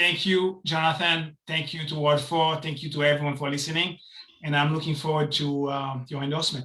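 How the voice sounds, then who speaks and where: A man with a non-native accent speaks at a fairly quick pace in a fairly high voice. His intonation is monotone and flat. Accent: foreign. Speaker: city council candidate. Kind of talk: campaign speech at online meeting.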